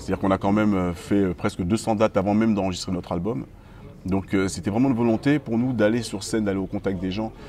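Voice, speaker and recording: With light background noise, a man talks at a fairly quick pace in a fairly low pitch with ordinary pitch variation. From mainland France, Guadeloupean family. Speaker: musician, band frontman. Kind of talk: interview.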